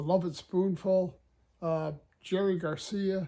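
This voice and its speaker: Speaking with an American accent, a man uses a high voice with a dark, mellow tone and fairly even intonation. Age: 70s. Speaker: music video host and musician. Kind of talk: casual monologue to camera. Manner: relaxed, conversational.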